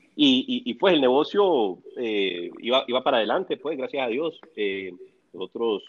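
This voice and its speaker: This is a normal speaking voice from a man, medium in pitch, with lively intonation. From El Salvador. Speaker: real estate developer. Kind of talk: casual chat. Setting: remote call from home.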